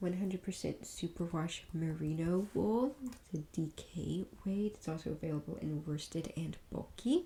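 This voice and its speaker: Soft-spoken, this voice moves at a very slow pace. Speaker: ASMR creator; parent. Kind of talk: ASMR catalog reading.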